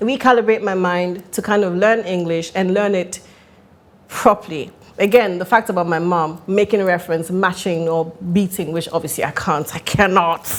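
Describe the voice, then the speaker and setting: A woman with a medium pitch speaks at a moderate pace, her intonation fairly even. Noticeable background noise can be heard. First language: Italian. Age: 40s. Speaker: actress and marketing entrepreneur. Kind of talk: podcast interview.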